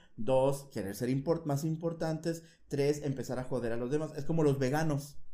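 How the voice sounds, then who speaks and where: This man talks at a moderate pace in a Mexican accent. His voice is fairly high-pitched, with a dark, mellow tone. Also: fairly even intonation. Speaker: podcast host. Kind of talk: casual chat.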